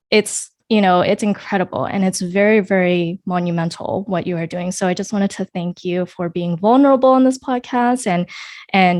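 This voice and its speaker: Hardly pausing, a woman uses a normal speaking voice at a medium pitch and a moderate pace, with ordinary pitch variation. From United States. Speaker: podcast host. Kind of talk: interview podcast.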